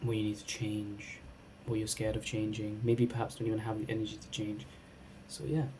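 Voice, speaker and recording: A somewhat breathy, dark, mellow tone at a fairly quick pace, with ordinary pitch variation and audible room echo. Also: man, fairly low pitch for a man. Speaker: cannabis product reviewer. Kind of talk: casual vlog review. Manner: halting, many false starts.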